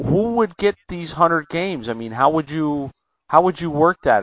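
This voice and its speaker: A man with an American accent and a plain, everyday voice speaks at a moderate pace with ordinary pitch variation. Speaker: podcast host. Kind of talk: casual interview. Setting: phone call.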